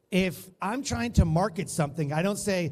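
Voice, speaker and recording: A man with a high pitch sounds animated, his intonation lively. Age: 40s. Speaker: conference speaker. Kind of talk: keynote talk.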